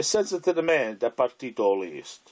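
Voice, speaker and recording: A very clean recording with a silent background of a man, the sound dry and close with no echo. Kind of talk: poetry reading.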